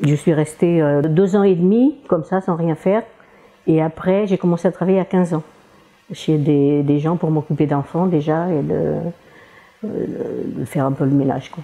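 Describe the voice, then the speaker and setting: Long, frequent pauses break up speech at a moderate pace, its pitch varying in an ordinary way. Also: woman, fairly low pitch for a woman. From Portugal. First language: Portuguese (speaking French). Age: 60s. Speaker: retired cleaning lady. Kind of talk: interview testimony. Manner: halting, many hesitations; cheerful, often laughing.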